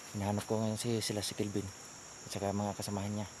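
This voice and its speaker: The speech is soft-spoken and very fast, in a monotone, flat intonation. Room echo can be heard. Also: man. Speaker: outdoor explorer vlogger. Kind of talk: vlog narration. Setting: outdoors.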